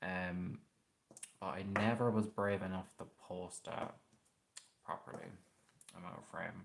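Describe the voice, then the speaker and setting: With an Irish accent, a man with a very deep, low voice speaks with long, frequent pauses and big swings in loudness. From Ireland, Westmeath. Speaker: paranormal youtuber. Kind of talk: casual livestream chat. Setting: live stream at home, late night.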